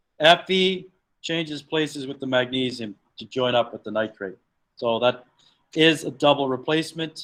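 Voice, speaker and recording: A man with an ordinary speaking voice talks at a medium pitch and a moderate pace. His pitch varies in an ordinary way while his loudness swings a lot. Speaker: chemistry teacher. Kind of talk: lecture.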